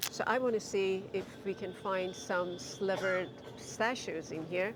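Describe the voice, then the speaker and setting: Amid noticeable background noise and audible room echo, a woman speaks at medium pitch with fairly even intonation and a fairly slow pace. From Iran. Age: 60s. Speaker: home cook, grandmother. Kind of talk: casual chat while shopping and cooking.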